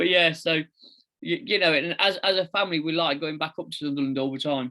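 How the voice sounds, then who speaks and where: With an East Midlands accent, a man talks at a very fast pace in a fairly high pitch, with ordinary pitch variation. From England, East Midlands (near Leicester). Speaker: founder of a fathers' advocacy group, podcast guest. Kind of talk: casual chat.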